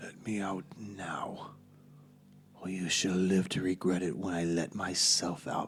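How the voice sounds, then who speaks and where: A man's put-on character voice, very deep and low, at a fairly slow pace over clear background noise. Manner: commanding, threatening.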